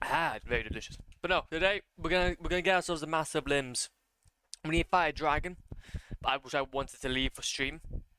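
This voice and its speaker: The tone is bright and sharp. The pace is very fast. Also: man. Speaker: video game streamer. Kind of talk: live gameplay stream chat. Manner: stuttering, many fillers.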